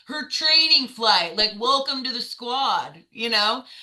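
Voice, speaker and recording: A woman with an American accent speaks fairly slowly in an animated tone. Noticeable background noise is present. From US South. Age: 30s. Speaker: navy veteran. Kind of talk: interview.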